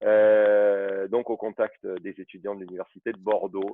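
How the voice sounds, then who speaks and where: A man's fairly low voice, fairly slow and monotone, with flat intonation. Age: 40s. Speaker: football referee. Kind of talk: interview.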